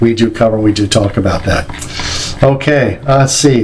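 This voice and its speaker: A man with an American accent at a medium pitch and fairly quick pace, with noticeable background noise and audible room echo. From New Jersey. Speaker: company president and trainer. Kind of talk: lecture. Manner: fast.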